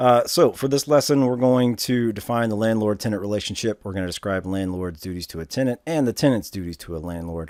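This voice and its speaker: Over a silent background in a very clean recording, a man with a fairly low pitch and lively intonation speaks at a very fast pace, with hardly any pauses. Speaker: instructor. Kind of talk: lecture.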